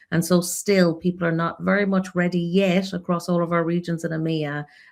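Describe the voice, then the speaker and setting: With an Irish accent, a woman speaks at a fairly low pitch and a moderate pace, keeping her intonation fairly even. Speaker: creative insights expert for a region. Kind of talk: panel discussion in a live webinar.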